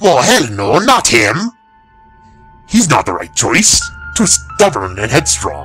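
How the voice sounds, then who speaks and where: A man puts on a character voice. He goes at a fairly slow pace with faint music in the background. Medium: read story. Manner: measured, serious.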